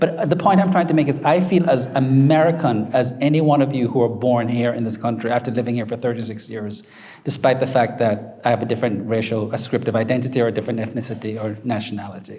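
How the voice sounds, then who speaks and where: A man with a Jamaican accent speaks at a very fast pace. Audible echo fills the room. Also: medium pitch for a man, ordinary pitch variation. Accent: Jamaican accent, kept. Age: 50s. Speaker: professor. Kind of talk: book talk Q&A. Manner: confident, emphatic.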